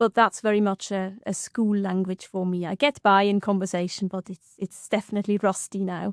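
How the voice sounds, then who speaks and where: In a Swiss German accent, a woman speaks at a fairly quick pace and medium pitch with monotone, flat intonation, in a very clean recording with a silent background and a dry, close sound with no echo. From Switzerland (German-speaking). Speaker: linguistics lecturer. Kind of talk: casual podcast chat. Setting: studio.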